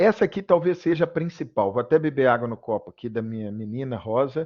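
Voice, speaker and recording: Lively intonation marks this man's speech. He is fairly high-pitched and keeps a moderate pace. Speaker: medical school professor. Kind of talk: lecture. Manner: casual and conversational; halting, with self-corrections.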